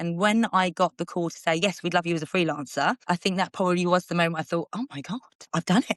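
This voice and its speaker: Talking very fast with an Essex accent, a woman uses a medium pitch, and the sound is dry and close with no echo. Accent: Essex accent, people comment on it. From Essex, England. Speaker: TV reporter and presenter. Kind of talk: interview.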